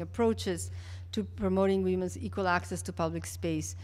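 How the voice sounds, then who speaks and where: Monotone, flat intonation at a fairly quick pace, with audible room echo. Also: woman. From Mexico (Mexico City). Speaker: public health official. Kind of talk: keynote lecture. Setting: conference stage with audience. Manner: halting, many fillers and restarts.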